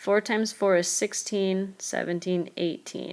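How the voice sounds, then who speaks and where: A woman's normal speaking voice, medium in pitch, with ordinary pitch variation. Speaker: math teacher. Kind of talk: tutorial.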